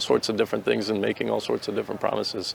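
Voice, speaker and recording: With an American accent, a man talks against noticeable background noise. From Boston, Massachusetts. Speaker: war veteran. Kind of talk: interview answers. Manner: hesitant, many fillers.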